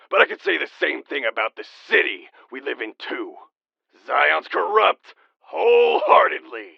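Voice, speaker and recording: Putting on a raspy character voice at an extremely high pitch, a man speaks with long, frequent pauses. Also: moderate pace. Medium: audio drama. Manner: rambling, gruff, dismissive.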